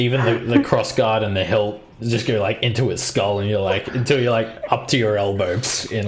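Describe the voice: This is plain reading aloud. The clip stays with plain reading aloud throughout.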